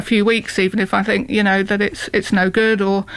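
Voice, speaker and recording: Noticeable background noise sits behind the speech. A woman talks at a very fast pace and a medium pitch. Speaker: artist. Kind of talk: interview.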